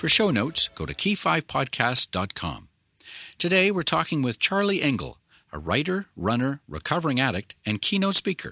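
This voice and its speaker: A man speaks at a moderate pace with vocal fry. His pitch swings very widely. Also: fairly high pitch for a man. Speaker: podcast host. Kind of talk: interview.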